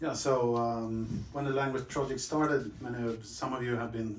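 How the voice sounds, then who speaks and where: Spoken at a moderate pace in a Swedish accent, the clip carries light background noise and audible room echo. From Sweden. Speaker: interviewer, company representative. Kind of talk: panel moderation. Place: meeting room.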